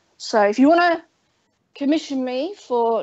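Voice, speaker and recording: Lively intonation from a woman with an English accent. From England. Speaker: guest artist and crafter. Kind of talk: casual chat.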